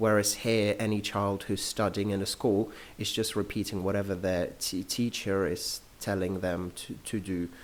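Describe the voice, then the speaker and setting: Speaking with a London accent, a man has a fairly low pitch. His moderate-paced delivery is monotone and flat. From London, England. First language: Russian. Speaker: English language consultant. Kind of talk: podcast interview.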